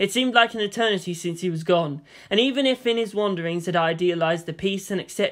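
Pitch moves in an ordinary way. The text is read aloud in a natural voice.

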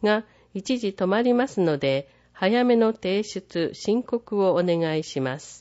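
At a very slow pace, a woman with a medium pitch speaks in very wide pitch swings. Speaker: newsletter narrator. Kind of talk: reading aloud. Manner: formal.

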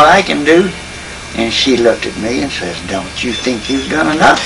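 Faint music plays behind a man talking at a moderate pace. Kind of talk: interview answer. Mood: warm humorous storytelling. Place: home room. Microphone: old recording.

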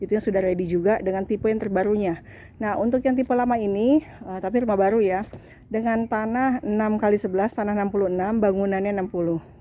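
Here a woman talks at a fairly quick pace. The sound is dry, with no echo. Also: fairly even intonation. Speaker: property marketer. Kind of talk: sales pitch, walking property tour. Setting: walking through a house on camera. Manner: salesy, exclaiming praise. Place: street. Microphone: phone near.

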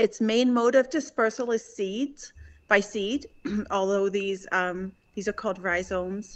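A woman speaking fairly slowly with ordinary pitch variation, over a quiet background. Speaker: council presenter. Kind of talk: presentation to council. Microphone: video call.

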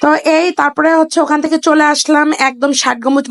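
Here a woman speaks with a high pitch. The sound is dry and close, with no echo. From Bagerhat, Bangladesh. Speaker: travel vlogger. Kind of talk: travel vlog narration.

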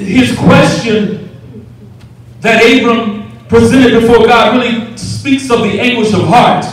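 Amid strong room echo, a man with an extremely high pitch speaks at a fairly slow pace with fairly even intonation. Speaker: preacher. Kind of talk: sermon. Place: church.

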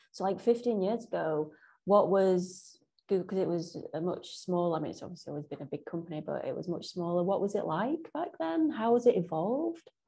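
A woman with a medium-pitched, somewhat breathy voice and a dark, mellow tone talks at a fairly quick pace with lively intonation against a quiet background. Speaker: podcast host and interviewer. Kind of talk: interview. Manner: warm.

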